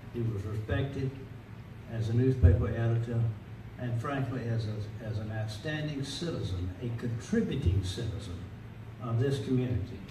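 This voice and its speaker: Amid audible room echo and noticeable background noise, a man talks at a moderate pace with a medium pitch and ordinary pitch variation. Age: 80s+. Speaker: newspaper publisher, award honoree. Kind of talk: acceptance speech. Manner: halting, with many fillers.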